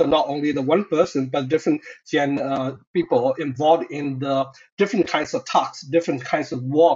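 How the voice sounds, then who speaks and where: A man with a Burmese accent speaks at a moderate pace, his fairly high pitch rising and falling in an ordinary way. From Myanmar. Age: 30s. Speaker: doctoral researcher and human rights activist. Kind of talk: podcast interview.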